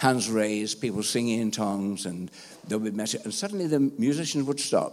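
In an English accent, a man talks at a fairly quick pace with a fairly low pitch. His intonation is lively, and there is noticeable background noise. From England. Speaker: pastor. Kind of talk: sermon.

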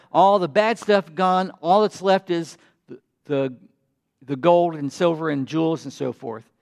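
A man with a North Carolina accent, high pitch, ordinary pitch variation and a fairly slow pace, in a dry, close sound with no echo. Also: long, frequent pauses. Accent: Southern US (North Carolina). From US South, North Carolina. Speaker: pastor. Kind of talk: sermon.

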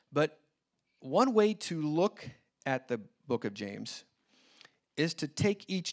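Very wide pitch swings mark this very slow delivery, captured dry and close with no echo on a very clean recording with a silent background. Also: man. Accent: American. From US Midwest (Indianapolis). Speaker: missionary and guest preacher. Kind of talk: sermon. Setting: church service.

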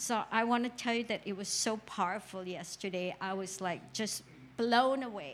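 A woman with an ordinary speaking voice speaks at a moderate pace in a fairly high pitch. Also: ordinary pitch variation. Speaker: congregation member giving testimony. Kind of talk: testimony.

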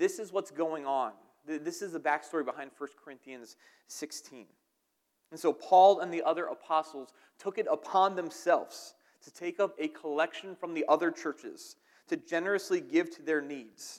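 A man with an American accent at a moderate pace, with big swings in loudness. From southern New Jersey, near Philadelphia. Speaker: pastor. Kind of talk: sermon. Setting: church.

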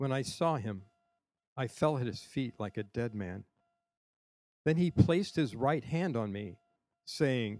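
Using lively intonation, a man talks in a medium pitch at a fairly slow pace, with long, frequent pauses. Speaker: scripture reader. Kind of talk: reading aloud. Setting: church service on a college campus.

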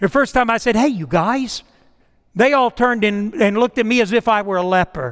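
Extremely high in pitch, a man's voice comes across in an animated tone. His intonation is lively. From US South, Mississippi (born in New York). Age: 60s. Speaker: pastor. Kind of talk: sermon. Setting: church.

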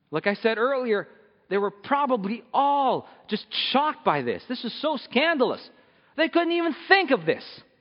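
The man's voice sits at an extremely high pitch and makes very wide pitch swings. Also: moderate pace. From Philippines. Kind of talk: sermon. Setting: church. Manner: casual, humorous.

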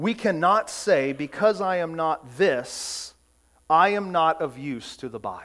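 A man talks in a normal speaking voice at a fairly slow pace. His pitch is fairly high and his intonation lively. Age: 40s. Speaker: pastor. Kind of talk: sermon.

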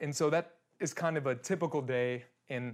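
Recorded very cleanly against a silent background, a man with a Midwestern American accent speaks at a medium pitch with ordinary pitch variation. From Kansas. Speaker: worship leader. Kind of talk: sermon.

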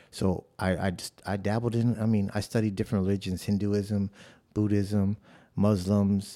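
With an American accent, a man of fairly low pitch talks at a moderate pace in a monotone, flat way. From South Side of Chicago. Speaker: church member sharing his testimony. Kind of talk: testimony. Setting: studio.

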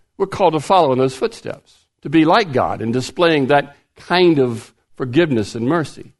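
A plain, everyday voice at a moderate pace over a quiet background. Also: man, fairly high pitch for a man, lively intonation. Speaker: retired pastor, guest preacher. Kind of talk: sermon.

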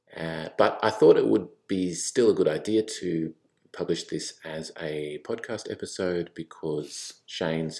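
A man's very deep, low voice at a fairly slow pace, on a very clean recording with a silent background. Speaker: church podcast host. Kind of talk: podcast introduction. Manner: casual, conversational.

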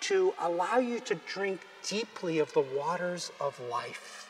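A man's extremely high-pitched voice over noticeable background noise. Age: 60s. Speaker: pastor. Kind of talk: sermon. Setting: church.

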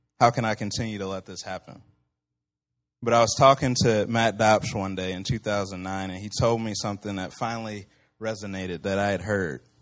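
Over a quiet background, a man with an American accent talks fairly quickly at a fairly low pitch, his intonation fairly even but his loudness swinging widely. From Central Illinois. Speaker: campus ministry worker. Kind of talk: personal testimony.

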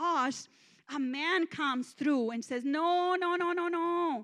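With a Mexican accent, a woman speaks at a high pitch with ordinary pitch variation. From Mexico, small town. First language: Spanish. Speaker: guest preacher. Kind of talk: sermon. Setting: church.

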